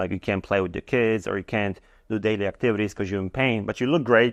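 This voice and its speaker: The speaker moves at a fairly quick pace with fairly even intonation. The background is quiet. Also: man. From Poland. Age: 40s. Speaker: strength and conditioning coach. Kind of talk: casual chat. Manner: halting.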